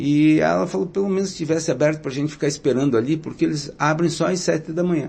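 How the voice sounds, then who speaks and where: Somewhat breathy and fairly high, a man's voice moves with ordinary pitch variation. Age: 60s. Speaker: mayoral candidate. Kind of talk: interview. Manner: filler-heavy, frequent 'né'.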